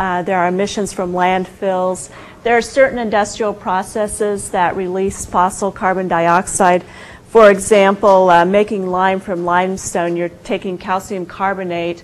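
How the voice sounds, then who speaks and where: A woman of medium pitch speaks at a moderate pace in a monotone, flat intonation. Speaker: environmental consultant and researcher. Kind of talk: lecture. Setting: university seminar room with audience. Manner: hesitant, many fillers.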